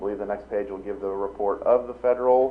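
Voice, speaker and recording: The man's delivery is monotone, with flat intonation throughout. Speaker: auditor. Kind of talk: report presentation. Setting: school board meeting. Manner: fast; many filler ums.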